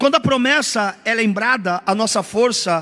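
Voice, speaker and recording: The voice is raised and projected. Music plays in the background. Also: man. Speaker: pastor. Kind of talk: sermon. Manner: emphatic, repetitive preaching.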